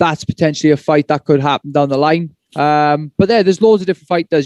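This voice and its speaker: A man with a Welsh accent talks at a very fast pace. His pitch is fairly high, and the sound is dry and close with no echo. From Wales. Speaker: MMA fighter. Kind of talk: press conference answers.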